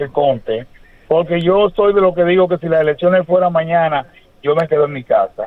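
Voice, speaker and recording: At a moderate pace, a man talks in a voice that is high for a man. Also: ordinary pitch variation. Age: 70s. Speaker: caller. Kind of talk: call-in opinion. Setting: phone call.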